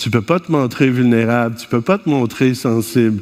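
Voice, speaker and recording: Over noticeable background noise, a man talks with a Quebec accent. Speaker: conference speaker, family therapist. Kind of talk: conference talk. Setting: stage with audience. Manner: animated.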